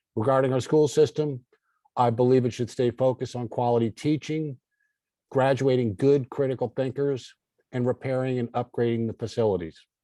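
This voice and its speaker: The tone is dark and mellow, with fairly even intonation. The sound is dry and close, with no echo. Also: man, medium pitch for a man, fairly quick pace. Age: 60s. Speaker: political candidate. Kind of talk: closing statement.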